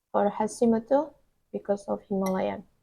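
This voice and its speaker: A woman's dark, mellow tone at a medium pitch, at a fairly slow pace. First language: Indonesian. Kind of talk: casual vlog talk to camera.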